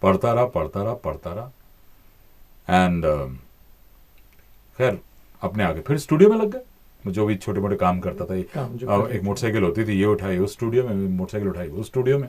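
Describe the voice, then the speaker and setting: A man speaks at a fairly slow pace with a fairly low pitch and ordinary pitch variation, over noticeable background noise. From India. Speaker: voice-over artist and former TV news anchor. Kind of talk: interview answer. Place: studio. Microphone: studio mic.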